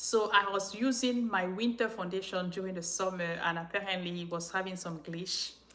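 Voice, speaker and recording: A woman with a non-native accent talks with fairly even intonation. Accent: noticeable non-native accent in English. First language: French. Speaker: YouTuber sharing life story. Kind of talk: live-stream Q&A chat. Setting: live stream.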